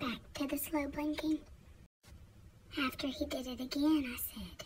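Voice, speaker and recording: A woman whispers at a fairly slow pace. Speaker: vlogger and foster parent. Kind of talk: casual vlog monologue. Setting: home office. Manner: whispering.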